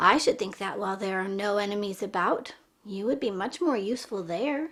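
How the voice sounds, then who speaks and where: A woman puts on a raspy character voice at a medium pitch. She speaks at a fairly quick pace. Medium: read story.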